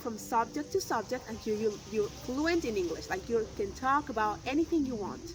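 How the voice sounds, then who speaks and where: Over music in the background, a woman with a fairly high pitch speaks with very wide pitch swings. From Argentina. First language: Spanish. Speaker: English teacher. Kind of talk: promotional talk to camera.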